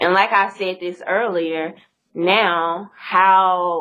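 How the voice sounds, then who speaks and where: Monotone, flat intonation from a woman with a Mississippi accent and fairly low pitch. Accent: Mississippi Southern. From US South, Mississippi. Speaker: YouTuber, interview guest. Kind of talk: casual interview chat.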